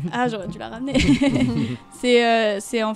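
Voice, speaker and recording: Over music in the background, a woman talks in a fairly high pitch. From France. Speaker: singer. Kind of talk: interview answer. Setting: radio studio.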